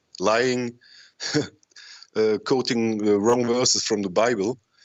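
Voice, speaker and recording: A man of medium pitch speaks with a non-native accent. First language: not English. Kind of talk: call-in discussion. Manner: halting, many fillers.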